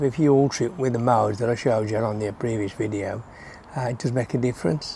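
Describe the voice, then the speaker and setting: A man speaks with an English accent at a fairly quick pace. His medium pitch shows ordinary pitch variation. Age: 70s. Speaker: motorcycle vlogger. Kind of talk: casual talk to camera.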